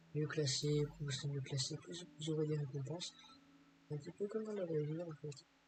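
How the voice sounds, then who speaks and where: Words come at a moderate pace while noticeable background noise carries on. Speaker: gaming YouTuber. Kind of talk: gameplay commentary. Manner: hesitant, many fillers.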